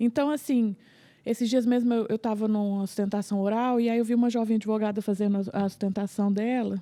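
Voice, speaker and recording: A dark, mellow voice moves at a fairly quick pace with fairly even intonation and very even loudness. The recording is very clean, with a silent background. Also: woman, fairly high pitch for a woman. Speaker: family lawyer. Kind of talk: casual chat. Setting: podcast recording.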